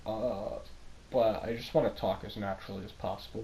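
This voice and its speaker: This man talks at a fairly quick pace with a fairly low pitch. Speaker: gaming commentator. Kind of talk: unscripted monologue. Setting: voiceover over gameplay. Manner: halting, with pauses and stumbles; casual, filler-heavy.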